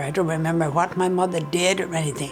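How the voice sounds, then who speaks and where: Against music in the background and audible room echo, a woman with a rural Ontario accent speaks in a fairly low pitch. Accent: rural Canadian (Ontario). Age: 80s+. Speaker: elderly storyteller, farm upbringing. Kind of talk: oral history interview, reminiscence. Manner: halting, with frequent fillers.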